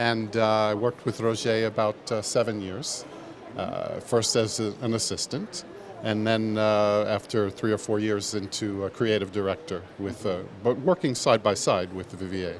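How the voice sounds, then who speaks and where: A man with a New York accent talks at a fairly low pitch. Noticeable background noise can be heard. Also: ordinary pitch variation, moderate pace. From New York City, Manhattan. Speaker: footwear designer. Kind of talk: interview. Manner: hesitant, many fillers.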